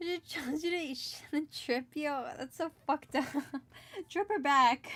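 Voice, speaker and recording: Speaking with an American accent, a woman has a high pitch and a bright, sharp tone. Her pitch varies in an ordinary way, and her pace is moderate. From California. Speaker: streamer and digital artist. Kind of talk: casual livestream chat while drawing. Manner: halting, repeats words.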